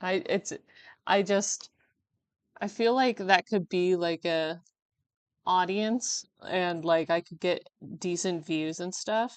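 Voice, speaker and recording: Over a quiet background, the speech moves at a very slow pace with long, frequent pauses, big swings in loudness and ordinary pitch variation, in a dry, close sound with no echo. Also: woman. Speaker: artist livestreamer. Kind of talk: casual livestream chat while drawing. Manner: laughs a lot.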